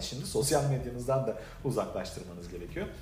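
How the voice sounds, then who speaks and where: The pace is very fast. Noticeable background noise and audible room echo fill the recording. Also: man. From Turkey, Adana. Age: 40s. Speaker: direct sales leader. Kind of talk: motivational talk.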